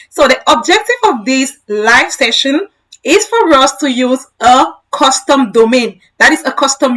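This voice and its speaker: A woman speaks at a fairly slow pace in a high, raised and projected voice with a bright, sharp tone and lively intonation. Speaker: tech educator. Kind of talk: live-stream tutorial. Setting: live stream.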